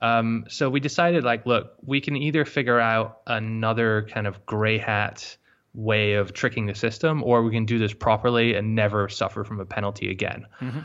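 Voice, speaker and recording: A man's medium-pitched voice at a moderate pace, fairly even in intonation, with hardly any pauses. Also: quiet background. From Scotland. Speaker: online entrepreneur. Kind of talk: casual interview. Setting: remote call. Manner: confident.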